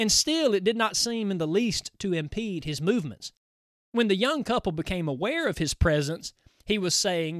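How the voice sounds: The background is silent apart from the speaker. A natural reading voice carries the text.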